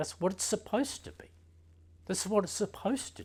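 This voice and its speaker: A somewhat breathy man is heard on a very clean recording with a silent background. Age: 60s. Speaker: meditation teacher and osteopath. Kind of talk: teaching talk.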